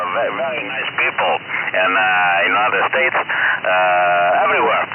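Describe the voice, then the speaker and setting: A man speaks with an Italian accent at a fairly slow pace. Background noise is noticeable. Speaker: geologist, ham radio operator. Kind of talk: casual chat. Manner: halting.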